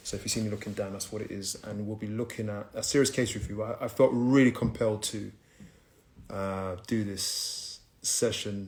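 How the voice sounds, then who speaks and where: A man with a fairly low voice speaks in a flat monotone. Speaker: social work educator hosting livestream. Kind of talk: live stream talk to viewers. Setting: live stream reading from laptop. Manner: fast.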